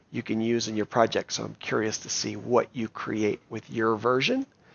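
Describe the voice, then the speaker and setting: A man speaks in an unremarkable speaking voice. His pace is moderate and his pitch medium. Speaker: coding teacher for kids. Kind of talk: tutorial.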